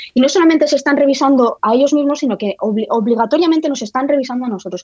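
At a very fast pace, a woman speaks with a dark, mellow tone. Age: 30s. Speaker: historian and writer. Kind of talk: interview. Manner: halting, many repetitions.

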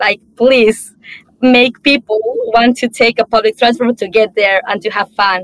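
A woman's fairly high voice, an ordinary speaking voice, at a fairly slow pace with fairly even intonation and a dry, close sound with no echo. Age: young. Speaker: climate activist and panel moderator. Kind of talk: panel moderation.

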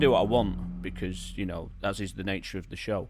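With a Manchester accent and some vocal fry, a man speaks at a moderate pace. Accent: northern English, Manchester area. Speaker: radio DJ presenting a monthly music show. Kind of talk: radio DJ patter between tracks, rhyming intros and music trivia. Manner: warm, enthusiastic, with alliteration and rhyme.

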